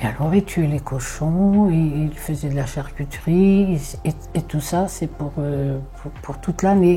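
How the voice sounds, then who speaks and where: Over music in the background, a woman with a very deep, low pitch speaks at a very slow pace with ordinary pitch variation. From Corsica. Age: 80s+. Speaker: elderly storyteller recalling childhood. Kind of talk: personal reminiscence. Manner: halting, many hesitations and repetitions.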